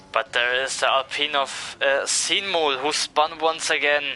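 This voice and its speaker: Music runs in the background as a man with a fairly high pitch speaks at a fairly slow pace. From Italy. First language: Italian. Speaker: sim racing commentator. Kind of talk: live commentary.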